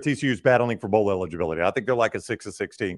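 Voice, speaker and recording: A man speaks at a very fast pace with vocal fry. The background is quiet. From Alabama. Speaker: sports radio host. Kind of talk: casual chat.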